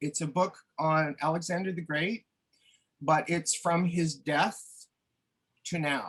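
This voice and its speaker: Spoken in a Maritime Canadian accent, the voice has a bright, sharp tone, fairly even intonation and a fairly slow pace. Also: man. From New Brunswick, Canada. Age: 60s. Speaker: retired artist. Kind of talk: interview. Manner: halting, many fillers.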